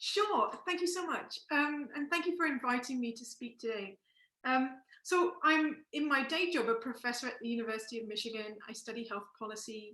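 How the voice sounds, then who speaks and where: A woman with an English accent speaks in a high pitch with a bright, sharp tone and lively intonation. Her pace is moderate and her loudness swings widely. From England. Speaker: professor. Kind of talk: panel talk. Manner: halting.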